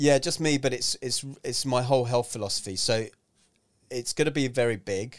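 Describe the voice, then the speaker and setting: A man with a London accent speaks at a moderate pace in a medium pitch, his pitch varying in an ordinary way. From North London, England. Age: 40s. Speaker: health and fitness author and speaker. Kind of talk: casual chat. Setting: studio.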